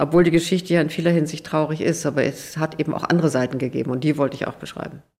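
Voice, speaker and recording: Very fast and with hardly any pauses, a woman talks in a very deep, low pitch with fairly even intonation. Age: 70s. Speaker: author and journalist. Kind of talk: interview.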